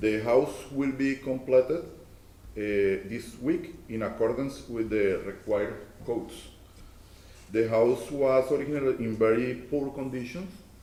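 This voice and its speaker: In a room with audible echo, a man with a Spanish accent speaks fairly slowly at a medium pitch with ordinary pitch variation. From Colombia. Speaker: property owner and contractor. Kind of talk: public hearing testimony. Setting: council chamber at podium. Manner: halting.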